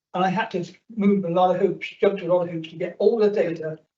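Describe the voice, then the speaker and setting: A man talks at a moderate pace with a high pitch. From South West England, near Bristol. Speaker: audience member asking a question. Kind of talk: public question at a meeting. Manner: halting.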